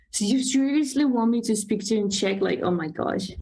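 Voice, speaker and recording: A woman speaks at a fairly high pitch with ordinary pitch variation. Her voice is somewhat breathy, and room echo is audible. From Slovakia. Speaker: podcast host. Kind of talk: casual chat. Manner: animated.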